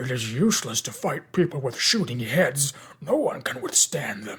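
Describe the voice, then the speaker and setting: Growling in a put-on character voice, a man speaks at a moderate pace with fairly high pitch. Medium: read story.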